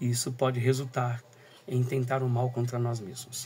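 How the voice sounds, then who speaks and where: Soft-spoken and somewhat breathy, a man speaks at a moderate pace with a medium pitch. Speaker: teacher and school coordinator. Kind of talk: recorded talk. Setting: at home, early morning.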